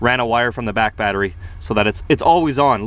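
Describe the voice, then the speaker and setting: Recorded with a dry sound and no echo, a man talks at a very fast pace. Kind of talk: casual vlog tour. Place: car. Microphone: phone near.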